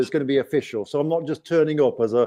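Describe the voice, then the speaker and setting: Here a man talks at a very fast pace. His tone is dark and mellow, with fairly even intonation. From England. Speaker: YouTuber. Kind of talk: live stream chat. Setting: live stream.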